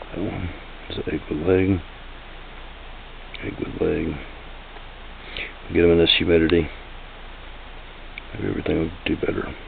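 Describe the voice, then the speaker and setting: Quiet and very deep, low-pitched, a man speaks with fairly even intonation and long, frequent pauses. Audible room echo and noticeable background noise are present. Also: moderate pace. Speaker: tarantula keeper vlogger. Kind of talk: casual video narration. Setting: at home, close to camera. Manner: talking quietly.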